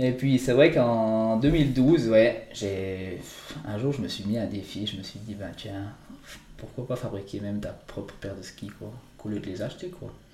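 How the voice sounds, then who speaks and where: Amid noticeable background noise and audible room echo, a man speaks fairly slowly at a medium pitch with ordinary pitch variation and big swings in loudness. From Switzerland, Valais (Entremont valley). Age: 20s. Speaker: mountain guide and ski maker. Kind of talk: interview. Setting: his workshop. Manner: halting.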